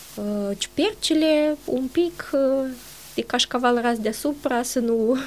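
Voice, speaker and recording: Speaking very slowly, this woman keeps her voice high in pitch. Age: 40s. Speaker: nutritionist and dietitian. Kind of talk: interview.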